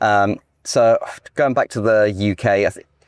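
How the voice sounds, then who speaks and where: Very slow speech is captured in a dry, close sound with no echo on a very clean recording with a silent background. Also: man. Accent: English. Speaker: real estate agent and podcast host. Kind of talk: casual interview. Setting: outdoors in a golf cart.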